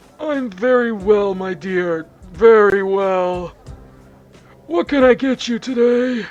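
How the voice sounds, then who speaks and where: A put-on character voice at a fairly high pitch moves at a fairly slow pace with long, frequent pauses, and faint music plays in the background. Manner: warm, friendly.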